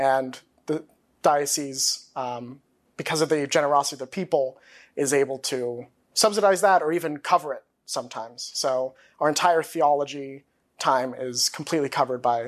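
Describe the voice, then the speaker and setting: A man with an American accent and an unremarkable speaking voice, fairly high in pitch with ordinary pitch variation, at a moderate pace over a quiet background. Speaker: seminarian. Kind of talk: interview testimony.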